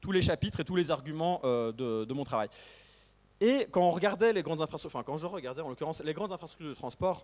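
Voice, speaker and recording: A man rattles along at a very fast pace. His fairly high voice has lively intonation. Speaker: historian, postdoctoral researcher. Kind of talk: academic talk. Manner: hesitant, many fillers.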